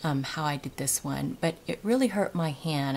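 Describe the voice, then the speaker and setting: A soft-spoken woman talks at a moderate pace, her pitch fairly low. Noticeable background noise can be heard. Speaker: craft tutorial maker. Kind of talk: tutorial. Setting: at home. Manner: casual with frequent fillers.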